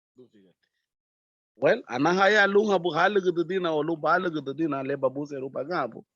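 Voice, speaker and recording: With a Honduran accent, a man speaks at a fairly quick pace in a high pitch with ordinary variation. His loudness swings widely against a quiet background. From Honduras, Garifuna village of Triunfo de la Cruz. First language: Garifuna (speaking Spanish). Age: young. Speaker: community volunteer. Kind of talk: interview.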